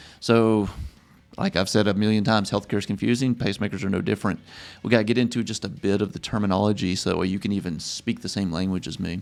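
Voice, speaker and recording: A man with a strong Louisiana accent, fairly low pitch, fairly even intonation and very fast pace over music in the background. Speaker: pacemaker clinician, educator. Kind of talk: tutorial. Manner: casual, filler-heavy.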